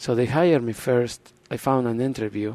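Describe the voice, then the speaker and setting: A man's voice with a dark, mellow tone. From Argentina. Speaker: racing team owner. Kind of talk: interview. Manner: halting.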